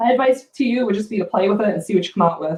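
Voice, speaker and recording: A woman talks at a very fast pace in a fairly high, somewhat breathy voice. Her tone is animated and her intonation lively. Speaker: furniture painter and brand ambassador. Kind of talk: live painting tutorial. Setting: livestream on social media. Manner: chatty, animated.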